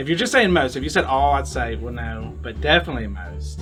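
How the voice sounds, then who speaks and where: A man with a Southern US accent at a moderate pace, with music in the background. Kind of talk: street interview answer.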